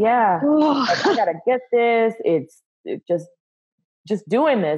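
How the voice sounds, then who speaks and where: A woman with an American accent, an ordinary speaking voice, fairly high pitch, lively intonation and a fairly slow pace. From US South (Texas, family from Louisiana). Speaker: speech coach and speech pathologist. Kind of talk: casual interview.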